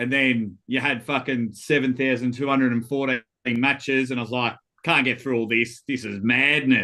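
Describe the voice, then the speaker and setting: With an Australian accent, a man speaks at a medium pitch in a bright, sharp tone with monotone, flat intonation. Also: moderate pace. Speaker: armwrestling guest. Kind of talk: casual chat.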